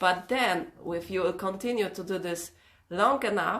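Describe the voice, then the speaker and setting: At a moderate pace, a woman speaks at medium pitch. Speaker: workshop trainer. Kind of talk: online workshop talk. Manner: emotional.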